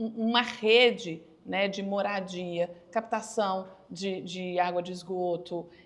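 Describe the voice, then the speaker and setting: Over noticeable background noise, a woman at medium pitch speaks at a very slow pace with fairly even intonation. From Minas Gerais, Brazil. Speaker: journalist podcast host. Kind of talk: podcast interview.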